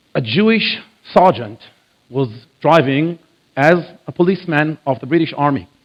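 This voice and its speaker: Pausing long and often, a man with a fairly high pitch speaks at a moderate pace with lively intonation. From Israel. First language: Hebrew. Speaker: biblical archaeology lecturer. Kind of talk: church lecture. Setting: church with audience.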